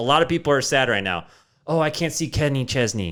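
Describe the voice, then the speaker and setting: A man's voice with lively intonation, on a very clean recording with a silent background. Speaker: podcast host. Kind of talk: casual podcast monologue. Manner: fast; animated.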